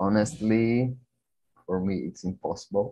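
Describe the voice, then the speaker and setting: A man with a Brazilian accent and fairly even intonation against a quiet background. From Brazil, Brasília. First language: Portuguese. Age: 20s. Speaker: personal trainer. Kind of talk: casual conversation practice. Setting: video call.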